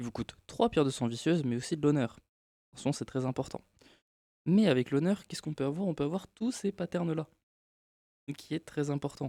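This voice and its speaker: Fairly quick speech from a man, fairly high in pitch yet dark and mellow in tone, broken by long, frequent pauses, with a dry, close sound and no echo. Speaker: gaming video creator. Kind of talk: casual gameplay tutorial talk.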